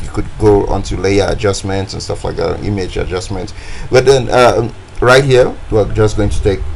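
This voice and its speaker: Against noticeable background noise, a man with a West African accent talks at a moderate pace with ordinary pitch variation. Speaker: design tutorial creator. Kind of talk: tutorial. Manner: casual, hesitant with many fillers.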